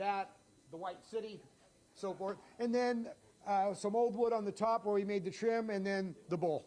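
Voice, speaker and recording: A man talks at a moderate pace with long, frequent pauses. His pitch is high, his tone is dark and mellow, and his intonation stays fairly even. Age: 70s. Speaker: restaurateur and YouTuber. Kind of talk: interview walkthrough.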